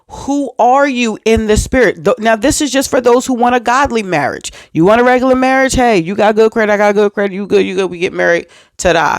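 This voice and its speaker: Very fast and animated, a woman speaks at a fairly high pitch with ordinary pitch variation. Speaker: faith and relationship vlogger. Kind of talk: motivational talk to camera.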